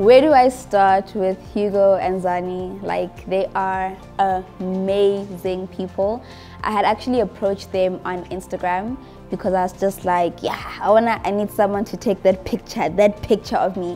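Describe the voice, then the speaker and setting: Faint music plays in the background. Over it, a woman speaks with fairly even intonation. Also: moderate pace. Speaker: travel vlogger. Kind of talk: interview answer. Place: home room. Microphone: lapel.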